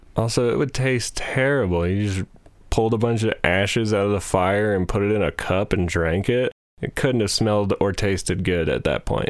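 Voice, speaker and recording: In a plain, everyday voice, a man speaks at a moderate pace with a fairly low pitch, ordinary pitch variation and very even loudness. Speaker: podcast host. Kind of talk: casual comedic banter. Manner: joking, playful.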